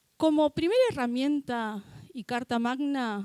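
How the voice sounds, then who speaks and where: The woman's tone is dark and mellow, with ordinary pitch variation. The sound is dry and close, without echo. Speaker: lawyer, gender policy official. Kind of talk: presentation at a university talk.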